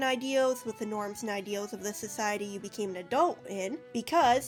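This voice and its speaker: A woman speaks with music in the background. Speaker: video game analyst. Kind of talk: video essay narration. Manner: sarcastic, casual.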